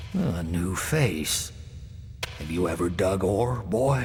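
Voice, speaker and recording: Over clear background noise, a man talks at a very slow pace in a put-on character voice, his pitch very deep and low. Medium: video game. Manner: world-weary, fatalistic.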